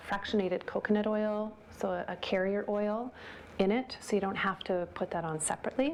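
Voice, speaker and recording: A soft-spoken woman talks at a moderate pace. Her pitch sits in the middle range. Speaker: yoga teacher. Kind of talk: guided yoga class.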